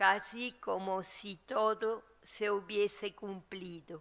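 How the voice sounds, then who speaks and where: The speaker talks at a very slow pace with vocal fry and fairly even intonation. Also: woman. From Latin America. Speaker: theologian. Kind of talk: book presentation talk. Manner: halting, with frequent fillers and repetitions.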